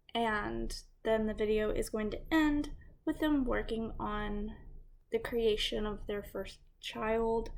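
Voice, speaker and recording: At a very slow pace, a woman speaks in a space with audible room echo. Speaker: true crime and gaming YouTuber. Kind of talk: casual narration to camera.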